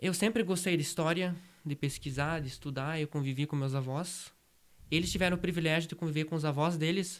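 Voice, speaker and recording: A man talks at a fairly quick pace in an ordinary speaking voice, pitched fairly high with fairly even intonation. The recording is very clean, with a silent background. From Brazil, Rio Grande do Sul interior. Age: 20s. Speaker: rural heritage project founder. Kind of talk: interview.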